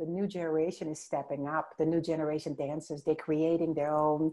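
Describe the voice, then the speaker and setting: With a non-native accent, a woman speaks at a fairly low pitch. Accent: foreign. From Suriname and the Netherlands. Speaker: dancer and health advocate. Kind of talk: interview. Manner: animated.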